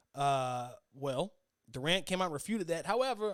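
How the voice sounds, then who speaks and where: A man talks at a fairly quick pace. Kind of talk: solo sports podcast commentary. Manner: fast; stumbling, self-correcting.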